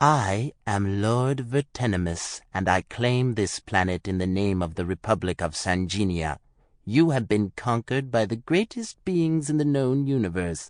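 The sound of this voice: A man speaks at a moderate pace in a put-on character voice, his pitch medium for a man.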